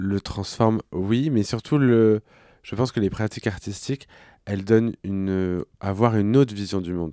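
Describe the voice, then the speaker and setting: A man's fairly low, dark and mellow voice at a moderate pace with ordinary pitch variation, dry and close with no echo, on a very clean recording with a silent background. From France, Clermont-Ferrand. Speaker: drag queen and actor. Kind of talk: casual chat.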